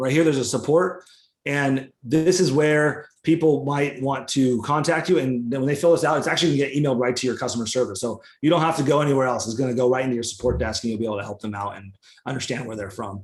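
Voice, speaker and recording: The pace is very fast. Pitch varies in an ordinary way. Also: man. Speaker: software founder presenting. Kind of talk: webinar software demo. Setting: live webinar screen share.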